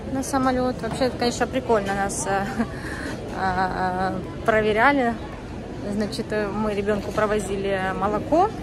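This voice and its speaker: A woman at a fairly slow pace, with music in the background. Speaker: family vlogger. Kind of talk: casual vlog chat. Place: station. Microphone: phone near.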